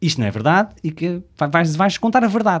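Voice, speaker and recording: Speaking with a European Portuguese accent, a man moves through very wide pitch swings. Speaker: podcast co-host. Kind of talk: casual chat.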